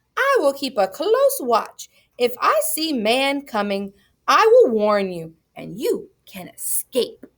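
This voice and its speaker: A woman puts on a whiny character voice pitched high. She speaks at a fairly slow pace. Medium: read story. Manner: whining, cajoling.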